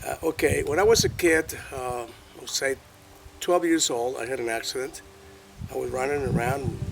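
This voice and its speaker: A man's fairly high voice at a moderate pace, with ordinary pitch variation, big swings in loudness and noticeable background noise. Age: 60s. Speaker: alternative health practitioner. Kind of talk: personal testimony in interview. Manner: halting, with fillers and repetitions.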